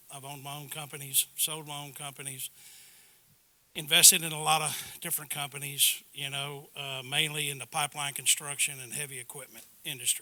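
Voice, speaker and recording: Fairly quick, monotone, flat speech from a man with a Texan accent, fairly high in pitch, bright and sharp in tone, with big swings in loudness. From Texas, River Plantation area (near Houston). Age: 60s. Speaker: board candidate, retired businessman. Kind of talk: candidate introduction speech at community meeting. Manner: halting, many fillers.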